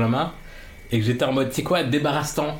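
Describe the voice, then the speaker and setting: There is audible room echo as a man speaks at medium pitch with ordinary pitch variation. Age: 20s. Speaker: podcast guest. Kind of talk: personal interview.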